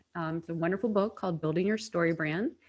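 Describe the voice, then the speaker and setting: A woman with an American accent speaks in a normal speaking voice, her fairly low pitch moving with ordinary variation. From United States. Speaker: personal branding strategist. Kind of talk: webinar presentation.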